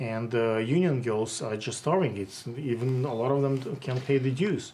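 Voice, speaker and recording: A man with a strong Russian accent speaks at a moderate pace and medium pitch with ordinary pitch variation. Noticeable background noise is present. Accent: heavy Russian. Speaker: interviewer, photographer. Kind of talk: interview. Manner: halting, many fillers.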